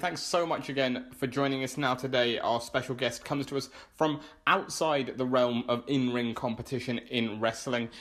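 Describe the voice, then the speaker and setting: A man at a medium pitch and moderate pace, an ordinary speaking voice on a very clean recording with a silent background. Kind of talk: podcast interview host.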